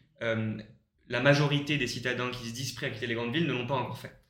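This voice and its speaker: A man speaks at a medium pitch and a moderate pace, with fairly even intonation. Audible room echo surrounds his voice. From Paris region, France. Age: 20s. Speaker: co-living startup co-founder. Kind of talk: interview. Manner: hesitant, many fillers.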